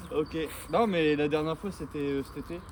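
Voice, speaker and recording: Speech at a moderate pace amid noticeable background noise. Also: man. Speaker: vlogger. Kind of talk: vlog narration; casual chat. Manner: loud.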